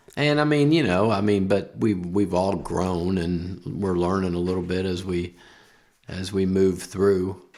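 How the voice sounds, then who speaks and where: A man speaks at a very deep, low pitch and a fairly slow pace. His pitch varies in an ordinary way, and the room echo is audible. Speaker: school principal. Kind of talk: casual interview. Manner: halting, many fillers.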